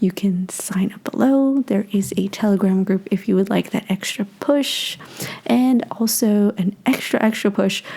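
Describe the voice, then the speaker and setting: Noticeable noise sits behind speech that unfolds fairly slowly. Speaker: book reviewer. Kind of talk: casual book review talk.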